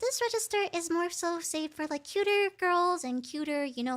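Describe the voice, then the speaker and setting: Squeaky and extremely high, a put-on character voice talks at a moderate pace. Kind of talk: high register for cuter girl characters.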